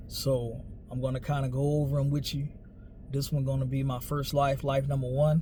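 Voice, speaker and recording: A man with an American accent, fairly high-pitched, in a monotone, flat delivery at a moderate pace, with audible room echo. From New Orleans, Louisiana (US South). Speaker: storyteller / vlogger. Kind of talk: personal storytelling monologue. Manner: casual, conversational.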